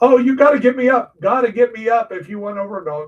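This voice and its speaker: This man has a high-pitched voice. He speaks at a fairly quick pace. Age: 60s. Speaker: gaming streamer. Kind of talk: live gameplay stream chat. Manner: casual, halting with fillers.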